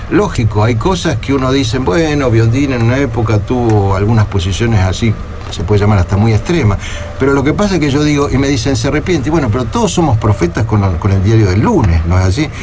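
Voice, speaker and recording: Over music in the background and with audible room echo, a man of medium pitch talks at a very fast pace with lively intonation and very even loudness. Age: 60s. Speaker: party leader, politician. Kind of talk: radio interview. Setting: radio studio.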